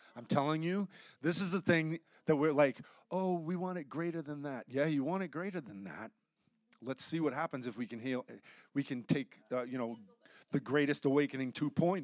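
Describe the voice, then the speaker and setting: A man speaks loudly with long, frequent pauses, the sound dry and close with no echo on a very clean recording with a silent background. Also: fairly high pitch for a man, ordinary pitch variation, moderate pace. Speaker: pastor. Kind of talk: sermon. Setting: church.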